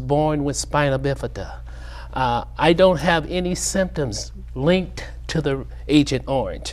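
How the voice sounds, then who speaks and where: There is audible room echo around this man's voice. He speaks at a fairly slow pace. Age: 70s. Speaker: Vietnam war veteran. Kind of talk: TV interview. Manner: halting.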